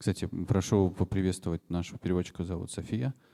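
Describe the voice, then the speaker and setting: With a Russian accent, a man speaks at a very fast pace in a very deep, low pitch and dark, mellow tone, his intonation fairly even and the sound dry and close with no echo. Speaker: event host at music school. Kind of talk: public talk moderation.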